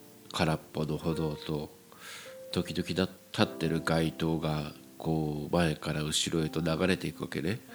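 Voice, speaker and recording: Noticeable background noise surrounds a man whose very deep, low voice moves at a fairly slow pace with fairly even intonation. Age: 40s. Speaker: podcast host. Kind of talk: solo monologue. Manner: halting.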